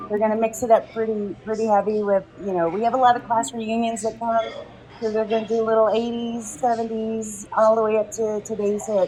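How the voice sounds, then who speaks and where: A woman's fairly high voice at a fairly quick pace, with noticeable background noise. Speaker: community event organizer. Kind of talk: casual interview chat. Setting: live podcast at a restaurant. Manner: animated.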